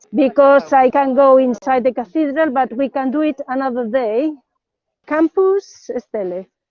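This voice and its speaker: A woman's high-pitched voice with a Spanish accent at a fairly slow pace. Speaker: academic tour guide. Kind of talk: live guided city tour. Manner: non-native halting English.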